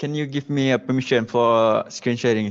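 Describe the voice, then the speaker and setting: A man with a Malaysian accent talks at a medium pitch with fairly even intonation. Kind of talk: presentation. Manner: halting.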